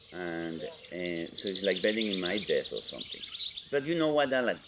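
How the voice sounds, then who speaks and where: With noticeable background noise behind him, a man speaks at a moderate pace in a fairly low pitch with lively intonation. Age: 70s. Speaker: property owner in a dispute. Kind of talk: casual chat. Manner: halting.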